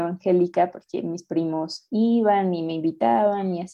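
A woman with a fairly low pitch talks in a plain, everyday voice with ordinary pitch variation. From Mexico City. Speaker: activist. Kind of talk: interview.

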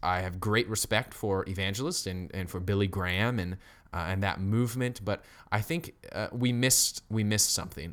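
A man speaks at a moderate pace with an American accent, his pitch fairly low and ordinary in its variation. The recording is very clean, with a silent background. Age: 20s. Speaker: pastor. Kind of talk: sermon. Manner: halting.

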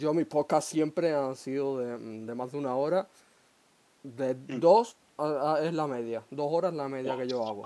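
A man's dark, mellow tone at fairly high pitch, with ordinary pitch variation and a fairly slow pace. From Huelva, Andalusia. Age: 20s. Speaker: podcast host. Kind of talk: casual chat.

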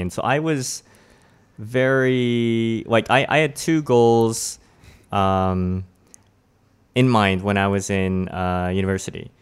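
A man with a Canadian accent talks very slowly at a medium pitch with ordinary pitch variation. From Toronto, Canada. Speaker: guest with own podcast.

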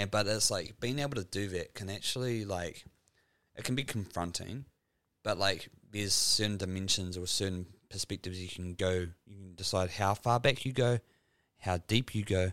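With a New Zealand accent, the speaker goes at a moderate pace, showing ordinary pitch variation and big swings in loudness. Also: man, fairly low pitch for a man. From New Zealand, Dunedin. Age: 30s. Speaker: podcast host. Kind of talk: casual chat. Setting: home studio.

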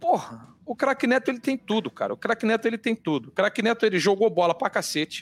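Very wide pitch swings from a fairly quick male speaker, dry and close with no echo, on a very clean recording with a silent background. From Rio de Janeiro, Brazil. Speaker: sports TV anchor. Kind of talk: casual chat. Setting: studio. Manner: animated.

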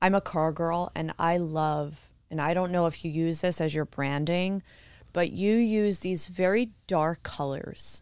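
A woman with an American accent speaks at a fairly slow pace in a normal speaking voice, her pitch fairly low. Her intonation stays fairly even, and the recording is very clean with a silent background. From New Jersey. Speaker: podcast host, real estate agent. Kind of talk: casual interview.

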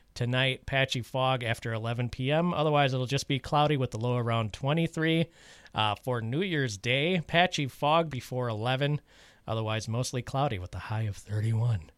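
The delivery is at a moderate pace, with ordinary pitch variation. It is a plain, everyday voice. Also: man, medium pitch for a man. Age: 40s. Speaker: community radio host. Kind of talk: radio announcements and weather reading; casual radio chat. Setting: radio studio.

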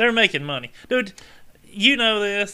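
At a moderate pace, a man with a high pitch projects a raised voice with a bright, sharp tone and lively intonation. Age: 40s. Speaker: disc golf podcast co-host. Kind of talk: casual chat.

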